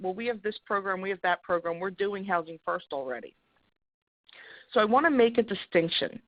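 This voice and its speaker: A woman with an American accent speaks at a fairly quick pace in a medium pitch, her intonation lively and broken by long, frequent pauses. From Philadelphia, US. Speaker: housing program presenter. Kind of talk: webinar presentation. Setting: webinar. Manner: fast.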